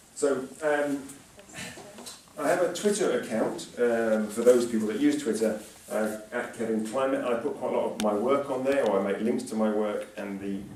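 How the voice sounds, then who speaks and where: With audible room echo and noticeable background noise, a man talks at a medium pitch with ordinary pitch variation. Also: moderate pace. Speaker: climate scientist, professor giving a public talk. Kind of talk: lecture. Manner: speeds up when speaking; hesitant fillers.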